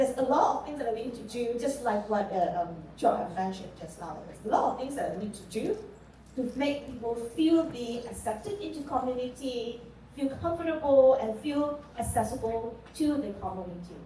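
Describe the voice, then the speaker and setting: In a Mandarin accent, a woman speaks at a moderate pace with a high pitch, lively intonation and big swings in loudness, amid audible room echo and noticeable background noise. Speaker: panel moderator. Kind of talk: panel discussion.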